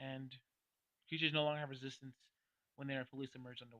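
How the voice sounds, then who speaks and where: A man's voice, dry and close with no echo. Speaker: gaming youtuber. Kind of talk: tabletop game class review. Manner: hesitant, many fillers.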